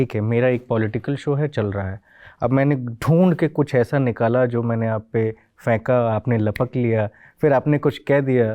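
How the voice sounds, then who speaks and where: Ordinary pitch variation from a man at a medium pitch. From Punjab, India. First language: Punjabi (speaking Hindi). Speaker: interviewer. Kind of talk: interview.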